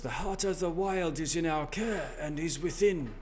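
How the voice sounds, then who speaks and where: Over clear background noise, a man puts on a raspy character voice, high in pitch and solemn in tone, at a moderate pace. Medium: actual play. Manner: solemn, grave.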